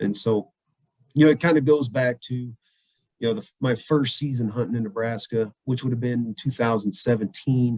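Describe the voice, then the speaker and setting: In a slight southern Louisiana accent, a man of medium pitch speaks at a moderate pace with fairly even intonation, recorded with dry, close sound and no echo. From US South, southwest Louisiana. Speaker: veterinarian and bird hunter. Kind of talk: casual podcast interview.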